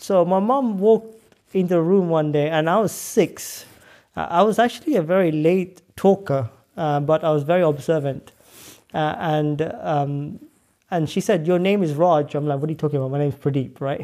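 In a London accent, a man speaks with a fairly high pitch and a dark, mellow tone. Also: ordinary pitch variation, moderate pace. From northwest London. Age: 30s. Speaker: scientist and entrepreneur. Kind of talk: interview conversation.

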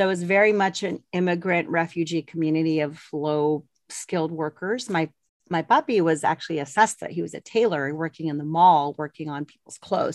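Recorded dry and close with no echo against a quiet background, a normal speaking voice moves at a fairly quick pace with big swings in loudness. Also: woman. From Colorado, US, Mexican-American family. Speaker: former Air Force navigator, author and publisher. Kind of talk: interview.

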